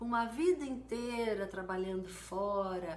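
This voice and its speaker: A woman's medium-pitched voice at a fairly slow pace, with ordinary pitch variation, audible room echo and noticeable background noise. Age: 60s. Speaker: mosaic artist. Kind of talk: live stream tutorial. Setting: live stream.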